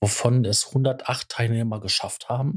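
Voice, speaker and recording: Somewhat breathy speech comes through with fairly even intonation. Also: man. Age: 40s. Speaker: podcast co-host. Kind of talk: casual chat.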